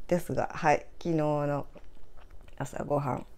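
Very deep and low for a woman, her voice carries a dark, mellow tone. She speaks fairly slowly in a flat monotone. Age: 60s. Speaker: guesthouse owner and video creator; guest, video creator. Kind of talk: casual vlog narration. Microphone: phone near.

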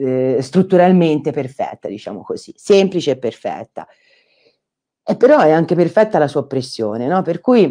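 A woman's dark, mellow voice at a moderate pace, with ordinary pitch variation and a quiet background. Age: 50s. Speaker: architect and doctoral researcher giving a talk; invited lecturer. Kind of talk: online lecture. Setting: online conference. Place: home room. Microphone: earbuds.

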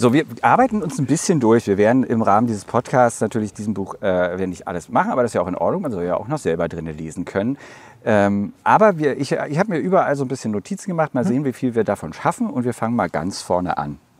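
Very wide pitch swings mark this man's medium-pitched voice. He talks at a very fast pace. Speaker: podcast host. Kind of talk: casual interview. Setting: outdoors in front of a cultural hall.

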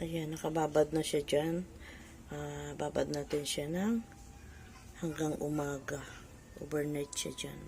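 A woman's very deep, low pitch at a fairly slow pace, with fairly even intonation and long, frequent pauses. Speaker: home gardening vlogger. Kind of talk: casual tutorial vlog. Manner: conversational, hesitant.

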